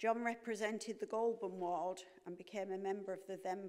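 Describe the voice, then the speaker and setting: A woman talks in a monotone, flat intonation. The background is quiet. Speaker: council chair presiding over meeting. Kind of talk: formal announcement read aloud. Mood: solemn, respectful. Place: hall.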